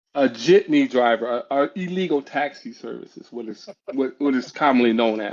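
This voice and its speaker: A man speaks in an ordinary speaking voice at a moderate pace. His medium pitch carries ordinary pitch variation. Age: 60s. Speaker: podcast host. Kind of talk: casual chat.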